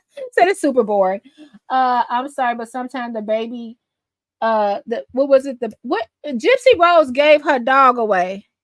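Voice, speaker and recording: Squeaky and high-pitched, a woman speaks at a fairly slow pace with lively intonation, the sound dry and close with no echo. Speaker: livestream host reading chat. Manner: casual, many fillers.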